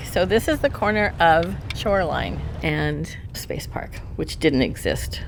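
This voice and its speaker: A woman with an American accent at a fairly slow pace, with audible room echo and noticeable background noise. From Mountain View, California (US West Coast). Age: 70s. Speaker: longtime local resident. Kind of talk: casual interview while touring. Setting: in a car.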